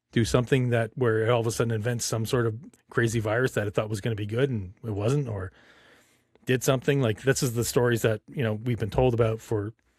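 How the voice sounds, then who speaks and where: A man's somewhat breathy, medium-pitched voice at a very fast pace, fairly even in intonation, in a very clean recording with a silent background. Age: 50s. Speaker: podcast host. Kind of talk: casual chat.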